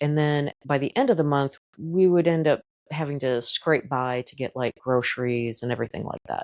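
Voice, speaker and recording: Here a woman speaks with a very deep, low pitch and ordinary pitch variation at a moderate pace. The sound is dry and close with no echo, and her loudness swings widely. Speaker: podcast host. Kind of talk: casual podcast monologue. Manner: candid, casual.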